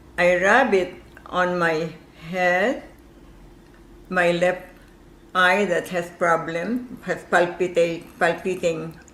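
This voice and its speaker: A woman's fairly low voice with a Filipino accent, very slow and full of long, frequent pauses, with audible room echo. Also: ordinary pitch variation. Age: 80s+. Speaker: caller. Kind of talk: testimony.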